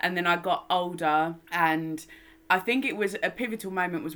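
In a London accent, a woman talks at a moderate pace. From London, England. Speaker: makeup artist and campaigner. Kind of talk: casual interview.

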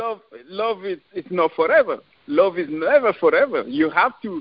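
With a French accent, a man speaks at a moderate pace using lively intonation. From France, Paris. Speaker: author and relationship advice guest. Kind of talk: casual interview. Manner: halting.

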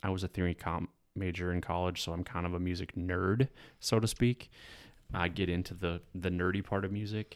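A man's very deep, low voice at a fairly quick pace, fairly even in intonation, on a very clean, silent recording with a dry, close sound and no echo. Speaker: music producer and entrepreneur. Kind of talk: casual chat.

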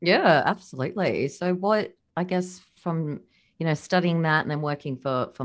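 A woman with an Australian accent, quiet background

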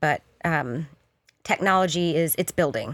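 A woman with an American accent speaks fairly slowly at a fairly low pitch with ordinary pitch variation, in a very clean recording with a silent background. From US South. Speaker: photographer. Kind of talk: interview. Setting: studio.

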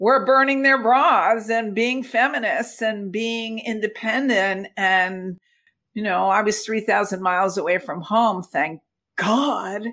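A woman with an American accent talks at a very slow pace. Her fairly high pitch shows ordinary variation, and her tone is bright and sharp. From United States. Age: 70s. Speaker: gut health advocate. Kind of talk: casual interview conversation. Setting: video call. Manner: animated.

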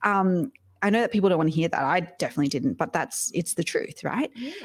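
Dry and close with no echo, a woman's medium-pitched voice with an Australian accent rises and falls in very wide pitch swings. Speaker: podcast coach and entrepreneur. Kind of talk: interview conversation.

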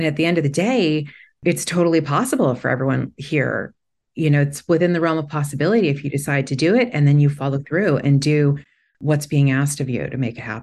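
A woman talks very fast at a very deep, low pitch with ordinary pitch variation. The background is quiet. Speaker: founder and author. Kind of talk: panel discussion.

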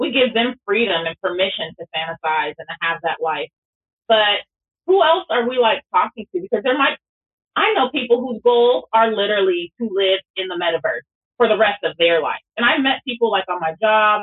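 A woman with a fairly high pitch and an unremarkable speaking voice talks at a moderate pace with lively intonation. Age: 40s. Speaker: pastor. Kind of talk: casual chat.

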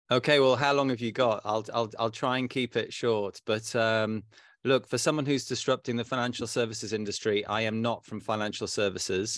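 Over a silent background in a very clean recording, a man speaks at a medium pitch. His pace is fairly quick and his intonation fairly even. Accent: British. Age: 50s. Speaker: fintech company founder. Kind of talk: interview. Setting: private club room.

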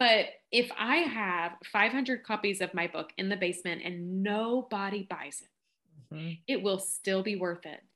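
Against a quiet background, a woman with a Kentucky accent talks at a fairly slow pace with hardly any pauses, her bright, sharp voice pitched medium with ordinary pitch variation. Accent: Southern drawl, Kentucky. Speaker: podcast guest, book marketing consultant.

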